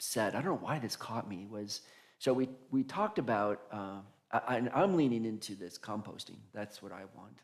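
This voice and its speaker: An unremarkable speaking voice moves at a moderate pace in a very clean recording with a silent background. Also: man. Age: 60s. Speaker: pastor. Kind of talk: conversational interview at church service.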